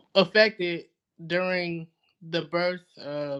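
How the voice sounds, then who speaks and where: Against a quiet background, a man in a Southern US accent speaks at a fairly slow pace with fairly even intonation. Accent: Southern US (Georgia). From US South, Georgia. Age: 30s. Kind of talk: podcast interview.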